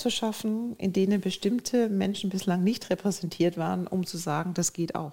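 A woman with a medium pitch speaks in an ordinary speaking voice. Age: 50s. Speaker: business executive. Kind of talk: interview.

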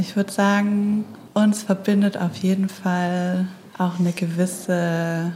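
At a very slow pace, a woman speaks in a dark, mellow, somewhat breathy tone with monotone, flat intonation. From Stuttgart, southwest Germany. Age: 20s. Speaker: author and graphic designer. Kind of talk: casual conversation. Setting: separate rooms, connected via headphones.

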